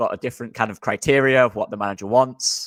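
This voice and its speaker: A man with a Yorkshire accent talks at a very fast pace with fairly even intonation, the sound dry and close with no echo in a very clean recording with a silent background. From Yorkshire, England. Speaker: football podcast co-host, former video scout. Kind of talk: casual chat.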